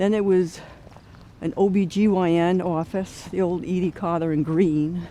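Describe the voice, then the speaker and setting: A woman's dark, mellow tone with a Rhode Island accent. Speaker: walking tour narrator. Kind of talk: narrated walking tour. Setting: outdoors walking. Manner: casual, halting with fillers.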